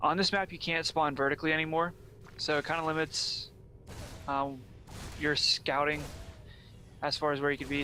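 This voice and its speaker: A man with an American accent talks in a fairly high pitch with a bright, sharp tone. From Pennsylvania. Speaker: esports caster. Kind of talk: live commentary. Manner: animated.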